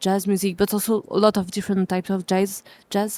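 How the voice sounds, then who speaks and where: A woman with a French accent and a medium pitch speaks at a moderate pace in a dark, mellow tone, recorded very cleanly with a silent background and a dry, close sound with no echo. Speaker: jazz musician. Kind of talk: interview. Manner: halting.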